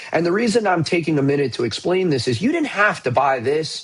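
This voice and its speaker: Pitch swings very wide as a man talks fairly quickly at a fairly high pitch. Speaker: stock market commentator. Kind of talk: market update video. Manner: casual.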